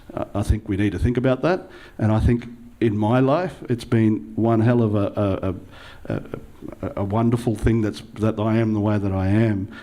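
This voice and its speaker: A moderate pace and ordinary pitch variation carry this Australian accent. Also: man, fairly low pitch for a man. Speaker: local councillor, panellist. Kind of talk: panel talk. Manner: hesitant, many fillers.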